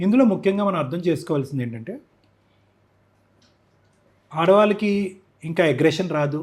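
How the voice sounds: A man speaks at a moderate pace with a fairly high pitch. His tone is slightly mellow and his intonation lively.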